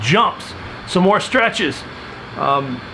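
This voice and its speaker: A man speaks over light background noise. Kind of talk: casual vlog chat. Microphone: phone near.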